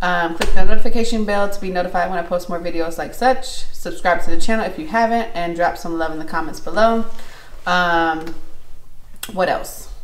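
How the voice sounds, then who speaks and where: Audible room echo carries a woman's voice as she talks at a fairly quick pace with ordinary pitch variation. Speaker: vlogger. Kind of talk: casual vlog chat. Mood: warm, relaxed. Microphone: phone near.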